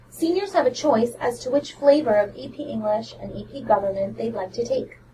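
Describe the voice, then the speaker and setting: Over noticeable background noise, a woman with a fairly high pitch uses lively intonation and big swings in loudness. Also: fairly quick pace. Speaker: school counselor. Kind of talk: informational podcast. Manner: fast.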